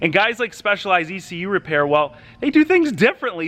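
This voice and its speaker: An animated man with a high pitch projects a raised, bright, sharp voice at a fairly quick pace, his pitch swinging very widely, recorded dry and close with no echo. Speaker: car YouTuber. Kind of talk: casual vlog narration.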